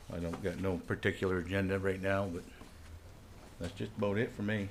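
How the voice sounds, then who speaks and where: Amid audible room echo, a fairly low-pitched man with an American accent speaks in a flat monotone. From northern Maine, US. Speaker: council applicant. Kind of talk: public comment at council meeting. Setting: city council meeting, podium.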